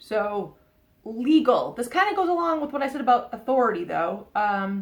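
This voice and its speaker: A woman with an American accent speaks at a high pitch and a moderate pace, her pitch swinging very widely. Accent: Boston accent, slips out at times. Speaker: psychic tarot reader. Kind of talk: oracle card reading to camera. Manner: casual, hesitant with fillers.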